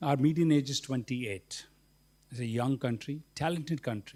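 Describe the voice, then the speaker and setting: Speaking at a fairly quick pace, a man uses a normal speaking voice at medium pitch with ordinary pitch variation. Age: 60s. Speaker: businessman. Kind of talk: panel discussion.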